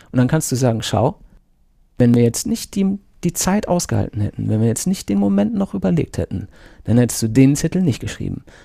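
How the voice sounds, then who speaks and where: A man speaks at a fairly quick pace with a slight North Rhine-Westphalian accent, his pitch medium and his tone dark and mellow. The pitch swings very widely, and the sound is dry and close with no echo. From North Rhine-Westphalia, Germany. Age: 40s. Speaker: Scrum Master. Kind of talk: casual interview.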